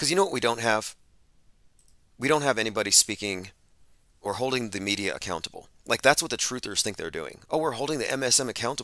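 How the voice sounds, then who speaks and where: Very fast and lively in intonation, a man talks with a bright, sharp tone at medium pitch. The recording is very clean, with a silent background. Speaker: podcast host. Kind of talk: commentary on played clips. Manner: sarcastic.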